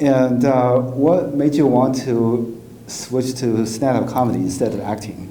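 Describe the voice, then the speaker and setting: A man talks at a medium pitch and a fairly slow pace with fairly even intonation. Noticeable background noise and audible room echo fill the recording. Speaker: comedian and podcast host. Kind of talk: casual interview chat.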